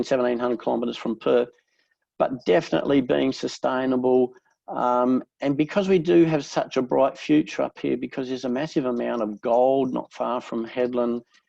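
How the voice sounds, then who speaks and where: The speaker has an Australian accent and a dark, mellow tone. The pace is fairly quick, with ordinary pitch variation. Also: man, medium pitch for a man. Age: 60s. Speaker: real estate agent. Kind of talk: interview.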